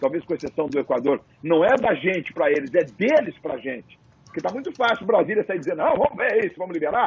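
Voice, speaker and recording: A man with a high voice speaks at a very fast pace, his pitch swinging very widely. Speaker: sports commentator. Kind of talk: casual panel discussion.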